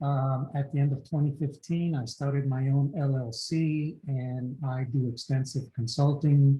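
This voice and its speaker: A man's fairly high voice stays fairly even in intonation and sounds somewhat breathy. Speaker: physician and consultant. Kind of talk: panel discussion.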